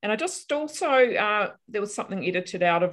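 The speaker talks at a fairly quick pace with lively intonation in a New Zealand accent. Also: woman. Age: 50s. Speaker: counselor and article writer. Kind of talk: casual interview chat. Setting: remote call during lockdown.

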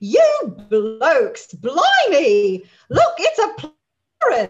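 A put-on character voice pitched extremely high delivers lines in a British accent. The pace is very slow.

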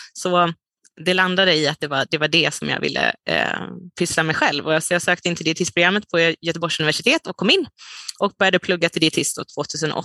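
Fairly quick and bright, sharp in tone, a woman speaks at a fairly low pitch. Her intonation is fairly even, and the sound is dry and close with no echo. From Sweden, Dalarna. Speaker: dietitian and nutrition researcher. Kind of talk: interview. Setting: remote call.

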